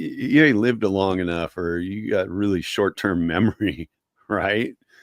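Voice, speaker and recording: The sound is dry and close with no echo as a man speaks in a plain, everyday voice. His pitch is fairly low, and his loudness swings widely. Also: ordinary pitch variation, moderate pace. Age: 50s. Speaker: sports podcast co-host. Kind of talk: casual chat.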